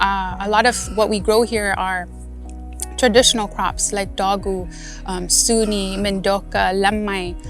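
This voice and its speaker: Music plays in the background as a woman speaks with a Guamanian accent. She keeps a fairly slow pace and fairly even intonation. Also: medium pitch for a woman. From Guam (Malesso'). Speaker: farmer, farm manager. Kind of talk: interview answer.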